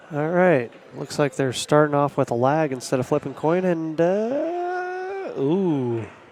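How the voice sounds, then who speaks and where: With noticeable background noise behind him, a man speaks at a very slow pace with hardly any pauses. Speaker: pool commentator and tournament organizer. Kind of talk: live commentary.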